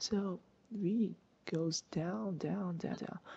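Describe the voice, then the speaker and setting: A woman speaks quietly. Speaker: physics tutor. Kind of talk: casual screen-recorded lesson. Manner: hesitant, many filler words.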